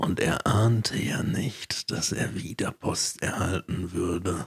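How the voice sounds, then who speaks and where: A man puts on a character voice, very deep and low in pitch. It sounds raspy and moves at a fairly slow pace. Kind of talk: narrative. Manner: dramatic, storytelling.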